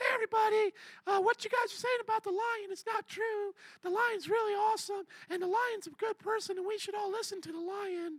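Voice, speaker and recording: A woman's put-on character voice, extremely high-pitched and fairly quick. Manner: cheerful, cartoonish.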